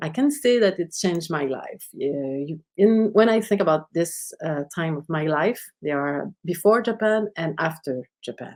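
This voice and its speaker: In a Quebec accent, the speaker talks at a fairly slow pace with lively intonation and hardly any pauses. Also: woman, fairly low pitch for a woman. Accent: Québécois French accent in English. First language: French. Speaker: sociologist. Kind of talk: lecture. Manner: halting.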